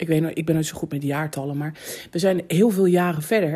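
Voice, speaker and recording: With a dark, mellow tone, a woman's voice stays at a fairly low pitch. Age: 40s. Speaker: podcast host. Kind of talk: solo podcast monologue. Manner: casual, laughing.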